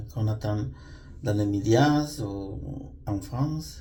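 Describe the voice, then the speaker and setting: Speaking with a non-native accent, a man uses a fairly low pitch and lively intonation. His pace is very slow, and room echo is audible. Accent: non-native French, says it shows. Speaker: vlogger. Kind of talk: personal storytelling monologue. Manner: halting, many hesitations.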